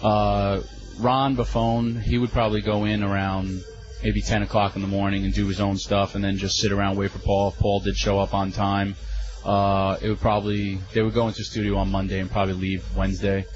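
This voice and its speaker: Over music in the background, a man with a fairly low pitch speaks at a fairly quick pace in a flat monotone. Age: 30s. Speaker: former wrestling company staffer. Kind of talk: interview. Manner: halting.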